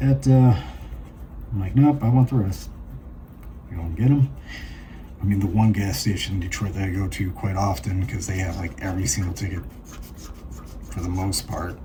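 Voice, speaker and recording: Mumbling at a moderate pace with long, frequent pauses, a man speaks in a very deep, low pitch with lively intonation amid audible room echo. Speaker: lottery scratch-off channel host. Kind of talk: casual commentary while scratching tickets.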